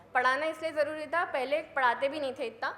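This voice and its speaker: With noticeable background noise and audible room echo, a woman talks at a moderate pace in fairly even intonation. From India, Madhya Pradesh (Sehore district village). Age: 30s. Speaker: mountaineer. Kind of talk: motivational talk. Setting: stage with audience.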